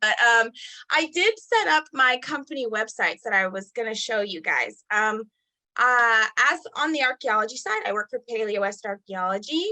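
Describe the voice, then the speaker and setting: A woman speaks at a fairly high pitch with a bright, sharp tone. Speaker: archaeologist. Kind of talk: career panel talk.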